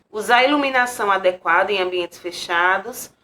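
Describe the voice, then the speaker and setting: Her pitch is medium, with ordinary pitch variation. This woman speaks at a moderate pace in a normal speaking voice. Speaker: teacher. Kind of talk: lecture.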